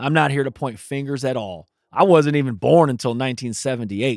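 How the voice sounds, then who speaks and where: In an American accent, a man with a plain, everyday voice speaks at a moderate pace on a very clean recording with a silent background. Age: 40s. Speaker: podcast host and teacher. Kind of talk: interview and scripted narration.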